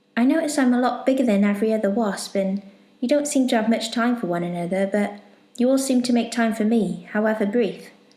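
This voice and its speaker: Loudness stays very even at a fairly quick pace over noticeable background noise. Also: woman, fairly high pitch for a woman, ordinary pitch variation. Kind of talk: bedtime story narration.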